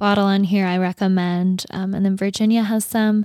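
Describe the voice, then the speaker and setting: In a plain, everyday voice with an American accent, a woman speaks at a moderate pace with fairly even intonation, her sound dry and close with no echo on a very clean recording against a silent background. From North Dakota, US. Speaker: podcast co-host. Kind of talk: casual chat. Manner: chatty, laughs often.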